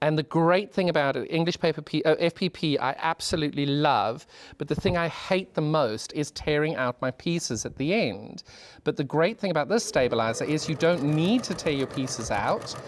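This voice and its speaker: A voice with a British accent is heard on a very clean recording with a silent background. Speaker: sewing demonstrator. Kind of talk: tutorial. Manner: animated; fast.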